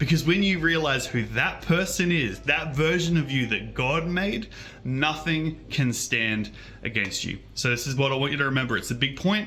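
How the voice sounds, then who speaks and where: A loud, animated man with a bright, sharp, fairly high voice speaks at a moderate pace amid audible room echo. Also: ordinary pitch variation. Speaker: children's show host and preacher. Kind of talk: children's sermon.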